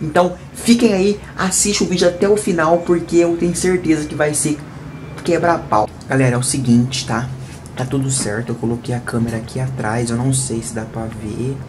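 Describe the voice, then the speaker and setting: Amid noticeable background noise, a man speaks at a moderate pace with lively intonation and big swings in loudness. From Brazil. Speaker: YouTuber. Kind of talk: casual vlog talk to camera. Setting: at home, bedroom. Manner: animated. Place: home room. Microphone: phone near.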